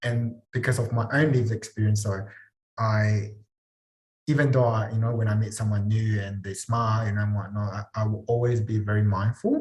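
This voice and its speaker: A man's somewhat breathy, fairly low voice with a non-native accent and monotone, flat intonation. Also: moderate pace. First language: not English. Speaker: mental health practitioner. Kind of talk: casual chat.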